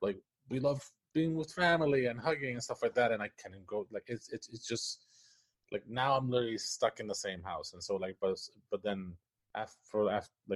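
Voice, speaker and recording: The voice has a Spanish accent and a dry, close sound with no echo. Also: man, moderate pace. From Puerto Rico. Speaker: animator and story writer. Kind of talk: casual interview chat. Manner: halting, many false starts.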